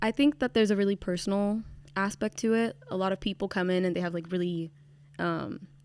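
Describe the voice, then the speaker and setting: A woman with a medium-pitched voice talks at a fairly quick pace with ordinary pitch variation. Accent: Californian. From California (Bakersfield), from age six; born in Venezuela. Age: 20s. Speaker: university student and writing tutor. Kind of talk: casual interview chat.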